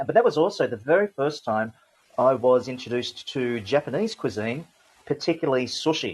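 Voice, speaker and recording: With an Australian accent, a man talks fairly quickly and with lively intonation against a quiet background. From Australia (Sydney, from early childhood). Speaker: logistics industry veteran. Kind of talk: podcast interview talk. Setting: online audio room. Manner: hesitant, many fillers.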